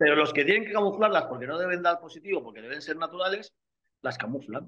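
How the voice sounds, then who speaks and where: A man speaks with very wide swings in pitch. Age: 50s. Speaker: bodybuilder and nutritionist. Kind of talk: casual interview. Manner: animated.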